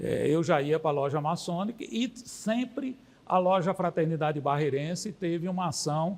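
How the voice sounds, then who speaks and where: At a moderate pace, a man talks with a high pitch. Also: lively intonation. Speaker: freemason lodge member. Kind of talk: documentary interview.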